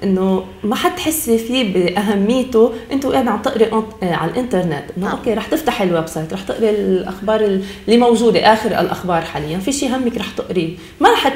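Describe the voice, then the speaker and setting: With a Lebanese accent, a woman talks at a moderate pace with hardly any pauses, her fairly high pitch carrying lively intonation over audible room echo. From Lebanon. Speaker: journalist. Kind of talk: TV interview. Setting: studio. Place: studio.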